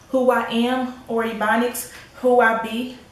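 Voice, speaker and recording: A woman talks with an American accent at a fairly high pitch. Audible room echo surrounds her voice. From United States. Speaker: spoken word poet, YouTube creator. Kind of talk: spoken word poetry performance. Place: home room. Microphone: camera far.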